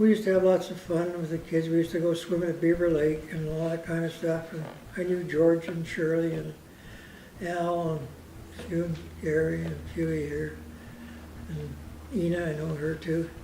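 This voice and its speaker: A man speaks in a high-pitched, flat monotone at a moderate pace, stopping often for long pauses. Noticeable background noise and audible room echo surround him. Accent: Canadian. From Canada, Vancouver Island (Saanich area). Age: 80s+. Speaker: local elder speaking on community history. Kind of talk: informal talk to a local audience. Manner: rambling, hesitant.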